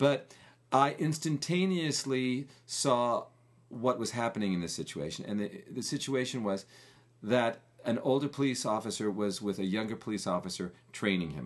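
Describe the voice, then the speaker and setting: A man with an American accent speaks in an unremarkable speaking voice at medium pitch and a moderate pace, his intonation lively against a quiet background. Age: 50s. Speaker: podcast co-host. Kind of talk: casual chat.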